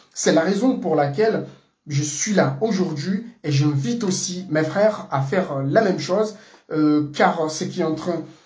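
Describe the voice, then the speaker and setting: Audible room echo surrounds a man speaking at a fairly slow pace. His pitch is high, with ordinary variation. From Comoros. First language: Comorian (speaking French). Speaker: political commentator. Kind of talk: political monologue. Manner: halting, many fillers.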